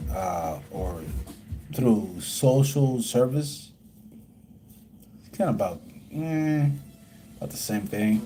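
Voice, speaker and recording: A man speaks at a very slow pace in a somewhat breathy, dark, mellow tone, leaving long, frequent pauses. His pitch swings very widely, his loudness shifts in big swings, and audible room echo is present. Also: medium pitch for a man. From Puerto Rico. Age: 30s. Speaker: livestreamer. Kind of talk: casual livestream chat. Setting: live stream. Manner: rambling with many fillers.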